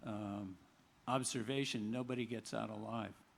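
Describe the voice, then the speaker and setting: With audible room echo, a man speaks at a fairly slow pace in a medium pitch and fairly even intonation. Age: 70s. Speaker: memoir coauthor. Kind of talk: book talk conversation. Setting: outdoor stage with audience. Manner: halting, many fillers.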